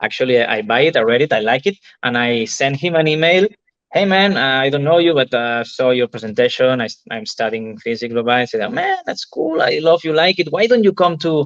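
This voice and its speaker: With a Spanish accent, a man speaks at a fairly quick pace in a fairly high pitch with lively intonation. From Spain. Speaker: entrepreneur and novelist. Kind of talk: interview testimony. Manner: halting.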